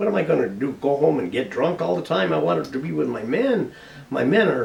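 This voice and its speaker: Someone with an American accent speaks with very wide pitch swings. There is noticeable background noise and audible room echo. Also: man, medium pitch for a man, fairly quick pace. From Colorado, US (San Luis). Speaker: war veteran. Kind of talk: interview. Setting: on camera. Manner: halting.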